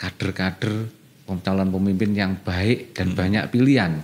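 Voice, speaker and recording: A man's fairly low-pitched, normal speaking voice at a moderate pace. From Indonesia, East Java. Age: young. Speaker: local politician; local politician guest. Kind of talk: radio interview. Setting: radio studio. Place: studio. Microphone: studio mic.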